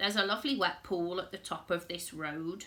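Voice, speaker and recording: A woman puts on a croaky character voice at a medium pitch, talking at a fairly quick pace. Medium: read story.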